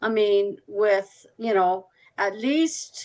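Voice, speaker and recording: Ordinary pitch variation shapes the speech. It comes from a woman. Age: 70s. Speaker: member of activist group in meeting discussion. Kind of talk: group discussion on video call. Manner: halting, many fillers.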